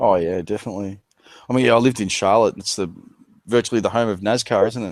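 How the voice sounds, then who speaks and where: Delivered at a very fast pace with fairly even intonation, the speech comes in an Australian accent. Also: man, fairly low pitch for a man. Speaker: channel host, conspiracy discussion. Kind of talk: casual chat.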